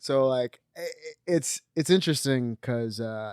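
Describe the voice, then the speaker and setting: A man with an American accent speaks at a moderate pace and medium pitch with ordinary pitch variation, in a dry, close sound with no echo. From Los Angeles, US. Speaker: filmmaker. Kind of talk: casual chat. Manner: mumbling.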